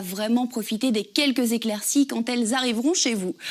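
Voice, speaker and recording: At a fairly quick pace, a woman speaks at a fairly high pitch with fairly even intonation. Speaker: TV weather presenter and radio host. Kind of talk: TV weather forecast.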